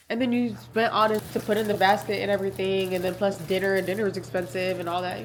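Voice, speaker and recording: Amid noticeable background noise and audible room echo, a woman at a medium pitch talks at a very fast pace. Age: 20s. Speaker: dental student and lifestyle vlogger. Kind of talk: casual vlog.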